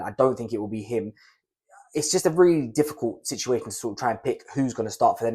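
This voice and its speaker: The recording is very clean, with a silent background. A man with a British accent talks very fast at medium pitch, with ordinary pitch variation. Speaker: fantasy football youtuber. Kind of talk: casual talking-head tutorial.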